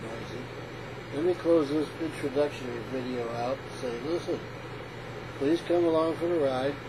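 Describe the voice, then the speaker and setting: A man's fairly high voice amid noticeable background noise. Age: 60s. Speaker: retired engineer and veteran vlogger. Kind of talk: casual vlog. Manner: halting, many fillers.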